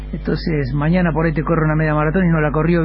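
A man talking very fast, with noticeable background noise and audible room echo. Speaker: athletics coach. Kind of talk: interview.

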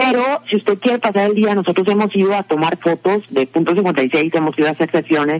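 A woman at medium pitch with ordinary pitch variation talks at a fairly quick pace, the sound dry and close with no echo but with noticeable background noise. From Mexico. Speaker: podcast segment presenter. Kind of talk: casual chat.

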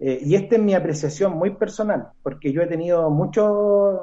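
This man has a dark, mellow tone and talks at a fairly slow pace. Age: 40s. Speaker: kung fu master. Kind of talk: interview.

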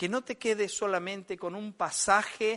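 A man with an Argentine accent uses a raised, projected voice at a fairly slow pace. His high-pitched tone is bright and sharp over a quiet background. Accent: Argentine Spanish (rioplatense voseo). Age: 50s. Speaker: pastor. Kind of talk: sermon.

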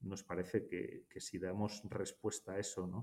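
This man has a very deep, low pitch. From Basque Country, Spain (Hondarribia, Gipuzkoa). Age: 60s. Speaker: architect and firm partner. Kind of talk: interview. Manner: hesitant, many fillers.

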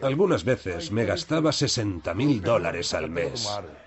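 A man speaks fairly slowly in a medium pitch, his voice making very wide pitch swings. Noticeable background noise is present. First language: Japanese (speaking Spanish). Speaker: former yakuza debt collector. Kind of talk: documentary interview.

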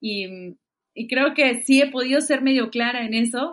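A woman speaks in an unremarkable speaking voice, fairly high in pitch with ordinary variation. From Peru. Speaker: musician. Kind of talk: casual interview.

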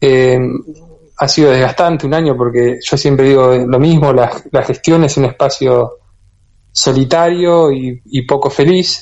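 The man's pitch is fairly high and his pace fairly slow. His intonation stays fairly even. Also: very even loudness. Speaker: bee health researcher and institute director. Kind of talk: radio interview.

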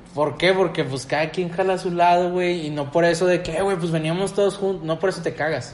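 A man with a Mexican accent speaks at a high pitch and a moderate pace, with audible room echo and noticeable background noise. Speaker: podcast host. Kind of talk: casual chat.

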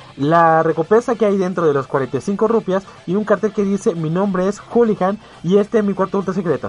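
Moderate pace and high pitch from a man, with noticeable background noise. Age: 20s. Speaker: radio host. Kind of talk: casual chat; scripted narration. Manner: animated.

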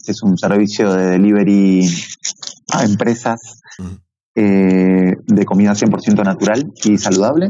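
Fairly slow, fairly even speech in an Argentine accent. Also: man. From Argentina, Buenos Aires. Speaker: e-commerce entrepreneur. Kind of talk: interview.

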